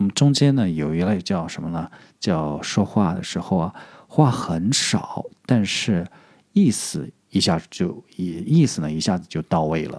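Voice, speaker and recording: A man speaks at a fairly slow pace in a very deep, low voice with a dark, mellow tone and lively intonation. He has a slight southern Chinese accent, and the recording is very clean with a silent background. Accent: slight southern Chinese accent in Mandarin. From southern China. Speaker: podcast host. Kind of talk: casual vocabulary tutorial. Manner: halting, many filler sounds.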